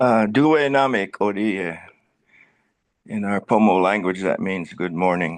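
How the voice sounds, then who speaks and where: Over a quiet background, the speaker talks at a very slow pace. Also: man. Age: 70s. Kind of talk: community presentation. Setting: hybrid meeting, Zoom and in person.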